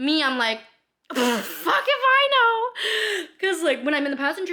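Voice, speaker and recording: A woman's raised, projected voice, animated in tone, with very wide pitch swings. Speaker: lifestyle vlogger. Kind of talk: casual monologue vlog. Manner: fast.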